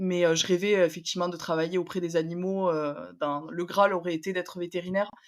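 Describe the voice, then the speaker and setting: Speaking at a fairly quick pace, a woman keeps a fairly low, monotone, flat delivery. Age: 20s. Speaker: podcast guest. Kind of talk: personal testimony interview. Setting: at home, remote interview.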